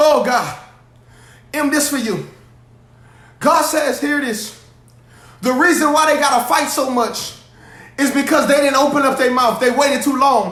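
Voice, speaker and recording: Loud and animated, a man speaks at an extremely high pitch and a moderate pace, with long, frequent pauses. Room echo is audible. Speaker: pastor. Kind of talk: sermon. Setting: livestream.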